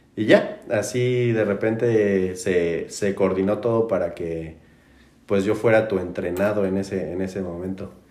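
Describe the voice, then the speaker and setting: Audible room echo surrounds a man speaking at a fairly slow pace in a fairly low pitch with fairly even intonation. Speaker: podcast host. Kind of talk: casual chat. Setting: in-person studio recording. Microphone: distorted backup recording.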